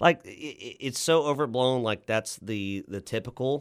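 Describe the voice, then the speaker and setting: A man with a Texan accent speaks at a moderate pace on a very clean recording with a silent background. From Central Texas (Lockhart). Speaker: restaurant general manager. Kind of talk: interview. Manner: halting, frequent repetitions.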